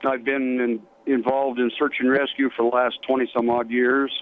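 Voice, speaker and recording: With an American accent, a man speaks at a moderate pace and medium pitch, monotone and flat, at very even loudness, with long, frequent pauses and noticeable background noise. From Colorado, US. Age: 60s. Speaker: retired fire chief. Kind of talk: interview.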